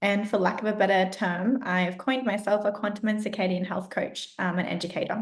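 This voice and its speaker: A woman speaks at a fairly quick pace in an Australian accent. Her medium-pitched, somewhat breathy voice keeps fairly even intonation. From Australia, rural Southeast Queensland. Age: 20s. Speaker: health coach and educator. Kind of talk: podcast interview.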